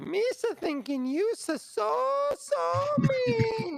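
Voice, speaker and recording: Over light background noise, a man puts on a squeaky character voice at an extremely high pitch and a very slow pace. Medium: actual play. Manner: broken grammar.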